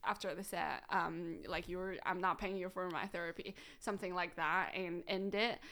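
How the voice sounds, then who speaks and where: A woman speaks with a bright, sharp tone at medium pitch and a moderate pace, her intonation monotone and flat. The recording is very clean, with a silent background. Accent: Chinese. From China, Shandong province. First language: Chinese. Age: 30s. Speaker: comedian. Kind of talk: casual chat. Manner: frequent fillers, says um a lot.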